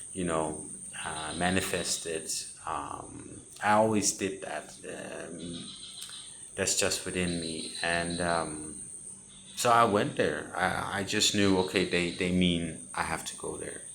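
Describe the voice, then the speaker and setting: With a Danish accent, a man speaks very slowly in a very deep, low pitch and fairly even intonation, with audible room echo. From Denmark. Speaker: spiritual content creator. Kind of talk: personal testimony. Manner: halting.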